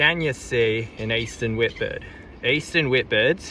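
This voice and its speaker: Fairly slowly, a man with an Australian accent speaks at medium pitch in a bright, sharp tone. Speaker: vlogger. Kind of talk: reading signs aloud.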